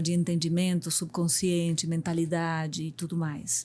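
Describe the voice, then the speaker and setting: On a very clean recording with a silent background, a woman with a Uruguayan accent speaks with a fairly low pitch and a dark, mellow tone. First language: Spanish (speaking Portuguese). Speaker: business executive and mentor. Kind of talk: podcast interview.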